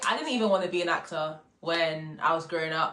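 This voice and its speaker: A woman with a London accent at a moderate pace. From UK, Congolese heritage. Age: 20s. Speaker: actor, drama school graduate. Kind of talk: casual vlog monologue. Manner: casual, filler-heavy.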